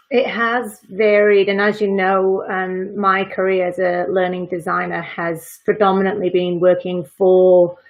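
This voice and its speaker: Speaking with a Welsh accent, a woman of medium pitch keeps a monotone, flat intonation at a fairly slow pace. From Wales. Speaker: freelance learning designer. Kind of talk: casual live interview chat.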